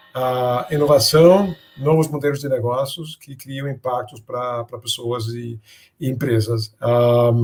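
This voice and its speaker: Over music in the background, a man with a Danish accent speaks at a very slow pace and medium pitch, his intonation fairly even but his loudness swinging widely. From Denmark. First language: Danish (speaking Portuguese). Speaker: business innovation speaker. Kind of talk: interview. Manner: halting, with many fillers.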